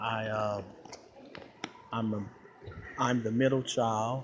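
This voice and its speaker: A man talks with an American accent at a fairly slow pace. Noticeable background noise sits behind him. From Flint, Michigan, US Midwest. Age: 30s. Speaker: YouTuber. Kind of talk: casual vlog monologue. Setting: outdoors at a shopping mall. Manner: animated.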